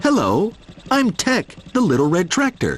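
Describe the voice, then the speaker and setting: Using a put-on character voice, a man speaks at a high pitch. His pitch swings very widely. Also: moderate pace. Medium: read story.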